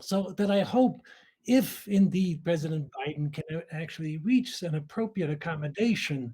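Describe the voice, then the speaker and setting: Speaking in a German accent, a man has lively intonation and a dark, mellow tone. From Austria. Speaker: nuclear scientist. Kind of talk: audience question at a symposium. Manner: halting, many fillers.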